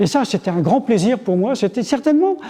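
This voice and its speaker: A man with an extremely high pitch and very wide pitch swings speaks at a moderate pace over noticeable background noise. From French Flanders (Bailleul). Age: 70s. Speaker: historian and author. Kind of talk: interview. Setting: museum. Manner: halting, many fillers.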